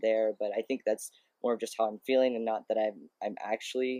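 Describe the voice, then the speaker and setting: Dark and mellow in tone, a man's medium-pitched voice sounds dry and close with no echo. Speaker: vlogger. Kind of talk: casual video update. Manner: halting, many fillers.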